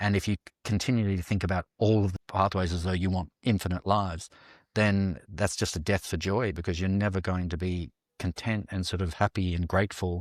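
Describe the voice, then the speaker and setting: Speaking in an Australian accent at a fairly quick pace, a man with a very deep, low pitch keeps his intonation fairly even, in a dry, close sound with no echo and a very clean recording over a silent background. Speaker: dancer and actor. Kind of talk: interview podcast.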